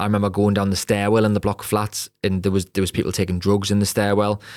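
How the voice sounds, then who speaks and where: In a very clean recording with a silent background, a man talks very fast in a Geordie accent, his fairly low voice monotone and flat. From northern England, Newcastle upon Tyne. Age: 30s. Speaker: podcast host and property entrepreneur. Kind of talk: personal story monologue.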